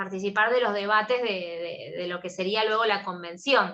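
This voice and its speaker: A woman speaks with an Argentine accent at a moderate pace and medium pitch. Her tone is bright and sharp, with ordinary pitch variation. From Argentina. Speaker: law professor. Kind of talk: lecture.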